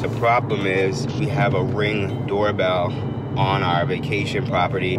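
A man's voice with ordinary pitch variation, music in the background, and a dry sound with no echo. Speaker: vlogger. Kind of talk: casual vlog chat. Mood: excited, a bit nervous. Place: car. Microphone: phone near.

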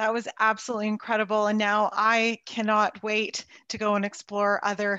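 In a quiet, dry setting with no echo, a woman speaks fairly slowly, her pitch fairly high and her tone bright and sharp. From Canada, Toronto. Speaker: expedition company sales representative. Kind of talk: presentation. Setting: video call. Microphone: video call.

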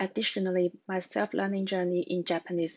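A woman speaks with a Cantonese accent at a medium pitch. Her pace is fairly quick against a quiet background. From Hong Kong. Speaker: job applicant, researcher. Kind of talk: scripted self-introduction for job application. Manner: formal, prepared. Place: home room. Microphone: webcam.

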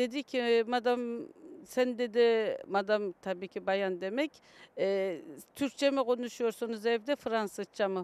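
At a fairly slow pace, a woman talks with a fairly high pitch and ordinary pitch variation, in a dry sound with no echo. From Kayseri, Turkey; France from age 9; Turkey. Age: 50s. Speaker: Turkish immigrant mother; interviewee. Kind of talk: street interview. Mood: warm, reminiscing. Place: open country. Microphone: handheld.

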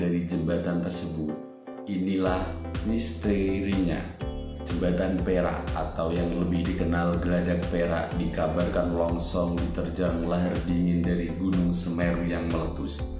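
Very even loudness holds throughout, with audible room echo and clear music in the background. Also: man. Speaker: channel host. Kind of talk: news-style narration.

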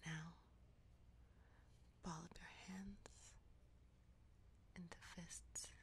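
The speaker is soft-spoken, going at a very slow pace with long, frequent pauses. The sound is dry with no echo over light background noise. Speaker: ASMR content creator. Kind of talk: guided progressive relaxation, ASMR. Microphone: studio mic.

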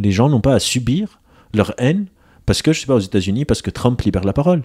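A man talks at a very fast pace with a medium pitch, very wide pitch swings and a dark, mellow tone, in a dry, close sound with no echo. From Lebanon. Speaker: psychologist and author. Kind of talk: casual chat.

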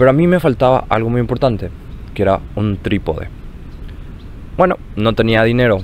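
Lively intonation at a moderate pace. Long pauses come often, and the loudness stays very even. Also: man, medium pitch for a man. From Paraguay. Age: 20s. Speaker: university student, grandson. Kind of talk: personal recollection.

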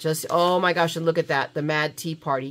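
A fairly quick, animated delivery in a bright, sharp tone with ordinary pitch variation. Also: woman. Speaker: craft vlogger. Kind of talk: casual vlog unboxing. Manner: chatty, animated.

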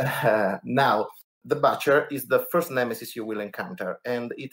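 Speaking fairly slowly, a man talks with an Italian accent. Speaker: board game podcast co-host. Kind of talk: podcast segment presentation. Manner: halting, many fillers.

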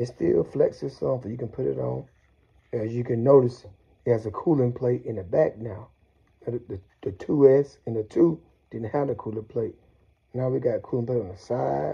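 A man speaking at a moderate pace, with long, frequent pauses against a quiet background. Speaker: product reviewer. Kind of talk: casual unboxing commentary. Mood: enthusiastic. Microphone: phone near.

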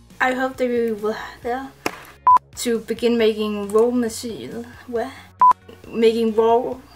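A woman's fairly high voice over background music, flat and monotone, at a fairly slow pace with long, frequent pauses. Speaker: gaming community content creator. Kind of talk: casual birthday video greeting. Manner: warm, cheerful. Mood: cheerful, giggly. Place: home room. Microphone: webcam.

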